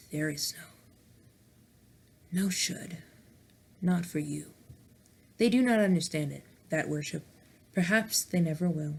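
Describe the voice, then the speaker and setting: In a put-on character voice, someone speaks with a creaky quality at a middle pitch. The pace is moderate, with long, frequent pauses. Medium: read story. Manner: weary.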